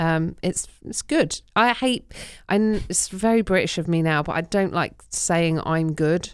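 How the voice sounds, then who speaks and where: A woman with an English accent speaks at a fairly low pitch. Her pace is fairly slow, with ordinary pitch variation. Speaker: comedian. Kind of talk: casual chat.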